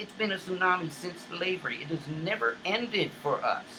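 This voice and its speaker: Raising and projecting his high-pitched voice with ordinary pitch variation, a man speaks over noticeable background noise. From US South, Charleston, South Carolina. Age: 50s. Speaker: online talk show host. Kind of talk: impassioned monologue. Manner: repetitive, halting restarts.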